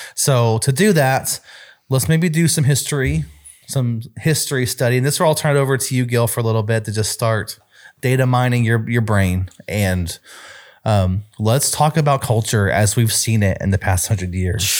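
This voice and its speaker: On a very clean recording with a silent background, a man in an ordinary speaking voice talks at a moderate pace and medium pitch with lively intonation. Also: very even loudness. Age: 30s. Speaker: youth ministry leader. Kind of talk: casual chat.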